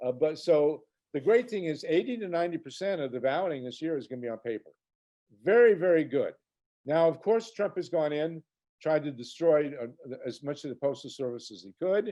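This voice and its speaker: A man speaks at a fairly quick pace with lively intonation. His tone is dark and mellow, at a fairly high pitch. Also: big swings in loudness. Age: 70s. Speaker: political author and activist. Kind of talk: interview conversation. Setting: video podcast. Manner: halting with many fillers.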